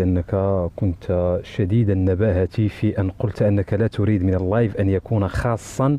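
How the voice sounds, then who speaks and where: In a dry recording with no echo, a man speaks at a fairly low pitch with ordinary pitch variation. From Morocco. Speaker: TikTok live participant; guest. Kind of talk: heated debate. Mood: critical, indignant.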